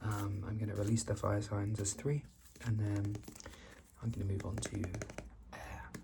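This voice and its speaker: Soft-spoken and fairly low in pitch, a man talks over noticeable background noise. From Britain. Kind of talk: ASMR tarot card reading.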